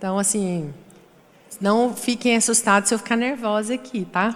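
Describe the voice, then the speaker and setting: A woman with a fairly high pitch speaks in a Goiás accent. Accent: Goiás accent, often taken for Minas Gerais. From Goiás, Brazil. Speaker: panel moderator. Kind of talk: panel discussion.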